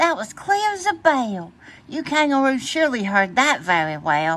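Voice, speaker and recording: A woman speaks in a put-on character voice, pitched high at a moderate pace. Her pitch swings very widely. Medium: read story.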